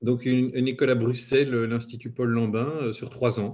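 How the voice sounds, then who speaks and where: Somewhat breathy and dark, mellow in tone, a man at medium pitch talks at a moderate pace. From Belgium. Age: 40s. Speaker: head of IT. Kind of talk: interview. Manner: hesitant, many fillers.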